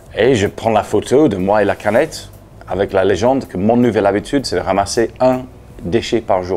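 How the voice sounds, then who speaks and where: A man with a Leeds accent speaks at a fairly low pitch. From Leeds, England. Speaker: anti-litter campaigner, former English teacher. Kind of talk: interview answer. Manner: direct, persuasive.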